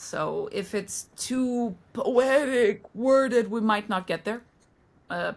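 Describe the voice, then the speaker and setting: Speaking at a very slow pace, a woman uses a fairly high pitch. Her pitch variation is ordinary. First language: not English. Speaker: book podcast co-host. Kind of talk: casual chat.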